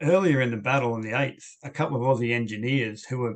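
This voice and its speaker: This man has an Australian accent and a medium pitch. He talks at a moderate pace with fairly even intonation. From Western Australia. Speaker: historian. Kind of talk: Q&A after lecture. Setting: video call.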